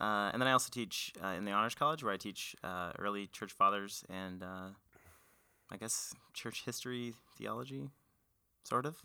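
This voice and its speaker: On a very clean recording with a silent background, a man with a fairly low pitch and a bright, sharp tone speaks with ordinary pitch variation and long, frequent pauses. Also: moderate pace. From Portland, Oregon. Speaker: university professor. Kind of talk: casual podcast discussion.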